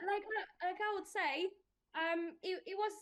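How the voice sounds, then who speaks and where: A woman with a Polish accent speaks at a moderate pace. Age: 20s. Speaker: protection adviser. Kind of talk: casual interview. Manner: animated.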